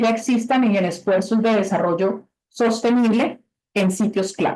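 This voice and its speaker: A woman's plain, everyday voice, fairly high in pitch, at a fairly slow pace. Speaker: webinar presenter for conservation grants. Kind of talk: webinar presentation. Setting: video call.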